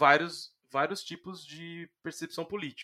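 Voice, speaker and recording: Delivered at a fairly slow pace, the speech shows ordinary pitch variation. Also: man. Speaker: comic book editor and writer. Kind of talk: casual interview chat. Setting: video call.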